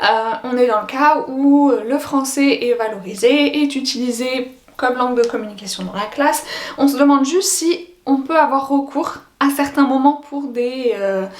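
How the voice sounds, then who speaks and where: Audible room echo and noticeable background noise surround a high-pitched woman. She talks at a fairly slow pace with ordinary pitch variation. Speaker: French as a foreign language teacher. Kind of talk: educational vlog. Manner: casual with hesitations.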